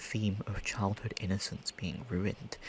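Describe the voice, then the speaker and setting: Fairly low-pitched male speech in an American accent. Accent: British with slight American creeping in. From Britain. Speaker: ASMR creator. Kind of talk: casual rambling chat. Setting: home recording in a pillow fort. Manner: whispering; animated.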